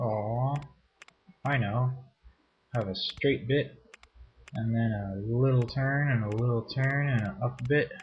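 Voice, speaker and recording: Someone mumbles at a fairly slow pace with fairly even intonation and long, frequent pauses, over light background noise. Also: man, medium pitch for a man. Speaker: let's play gamer. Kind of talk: casual gameplay commentary. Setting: home microphone placed too far away. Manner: mumbling, low volume.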